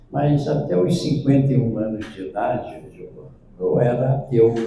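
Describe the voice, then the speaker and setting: A man talking at a fairly slow pace, with audible room echo. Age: 70s. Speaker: spiritist lecturer. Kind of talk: lecture.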